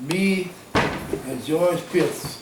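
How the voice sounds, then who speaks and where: A man with an American accent speaks with ordinary pitch variation, with noticeable background noise and audible room echo. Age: 80s+. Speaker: war veteran. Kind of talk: oral history interview. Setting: at his home. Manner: halting.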